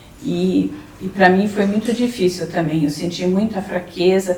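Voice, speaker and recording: Noticeable background noise sits behind a woman's fairly low-pitched voice. She talks at a fairly slow pace with fairly even intonation. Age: 60s. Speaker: breast cancer survivor. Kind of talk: testimony. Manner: halting.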